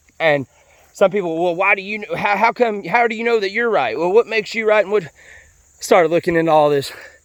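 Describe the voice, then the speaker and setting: A man with an American accent, very fast pace, high pitch for a man. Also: ordinary pitch variation. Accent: sounds like a hillbilly (self-described). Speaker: vlogger. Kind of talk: casual monologue. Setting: outdoors, on a walk. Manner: halting, repeated words.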